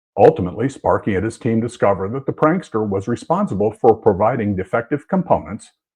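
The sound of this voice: Reading in an unforced voice.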